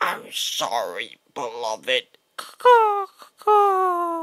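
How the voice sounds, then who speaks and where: A man's put-on character voice, extremely high-pitched, at a very slow pace. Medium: dub.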